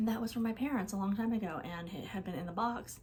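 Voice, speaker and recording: The woman talks fairly quickly in a fairly high voice. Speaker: vintage collector vlogger. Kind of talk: casual haul vlog. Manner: fast; animated.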